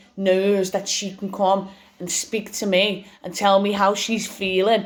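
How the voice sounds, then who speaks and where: A woman's medium-pitched voice in an English accent, monotone and flat in intonation. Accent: English regional (British). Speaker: vlogger sharing cancer experience. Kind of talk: personal testimony vlog. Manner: loud; halting with repetitions.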